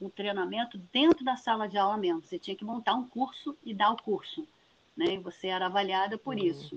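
At a moderate pace, a woman with an unremarkable speaking voice and fairly high pitch uses lively intonation. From Niterói, Rio de Janeiro state, Brazil. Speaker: geography professor. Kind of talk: interview.

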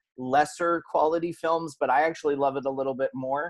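A fairly high-pitched man with a Californian accent, at a fairly slow pace. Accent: American (California). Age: 30s. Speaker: podcast host. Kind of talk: interview.

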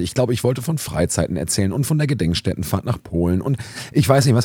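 A man's medium-pitched voice with a dark, mellow tone and vocal fry races along at a very fast pace through very wide pitch swings. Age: 30s. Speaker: youth worker and podcast host. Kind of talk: casual chat. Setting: youth centre, seated on sofas with mobile recorder.

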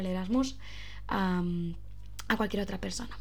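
There is audible room echo around a woman speaking at a fairly high pitch. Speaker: podcaster. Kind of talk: casual monologue. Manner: fast; stumbling over words.

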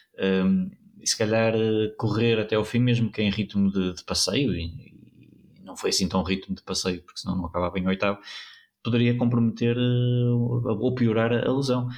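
Speaking at a moderate pace, this man has an unremarkable speaking voice, medium in pitch, with ordinary pitch variation. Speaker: cycling pundit. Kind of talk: casual chat. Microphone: new microphone.

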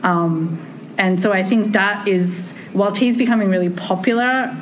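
Ordinary pitch variation in an Australian accent, with audible room echo and noticeable background noise. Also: woman. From Australia, Sydney. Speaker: tea ceremony researcher. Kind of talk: casual conversation. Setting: conference.

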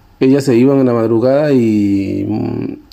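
This man's voice is medium-pitched and dark and mellow, with fairly even intonation. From Colombian Pacific coast (Guapi, Cauca). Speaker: musician. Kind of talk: interview narration about his life. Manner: halting, many fillers and repetitions.

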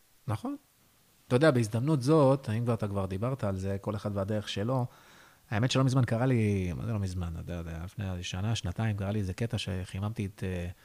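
A man speaks in a normal speaking voice at a fairly low pitch and a fairly quick pace, with ordinary pitch variation. The recording is very clean, with a silent background. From northern Israel, Haifa bay area. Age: 30s. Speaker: stand-up comedian. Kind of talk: interview.

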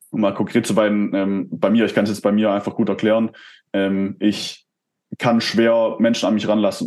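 A man speaks in a flat monotone, with long pauses coming often. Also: quiet background. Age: 20s. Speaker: entrepreneur and performance coach. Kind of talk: casual interview. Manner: hesitant, many fillers.

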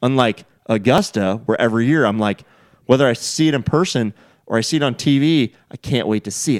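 A man with an American accent uses an unremarkable speaking voice at medium pitch and ordinary pitch variation, talking at a fairly quick pace in a dry, close sound with no echo. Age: 40s. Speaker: golf podcast host. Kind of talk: casual chat.

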